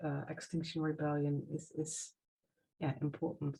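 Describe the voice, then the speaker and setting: At a moderate pace, a woman with a non-native accent speaks in a fairly low, somewhat breathy voice. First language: not English. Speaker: earth activist. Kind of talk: casual chat. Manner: halting.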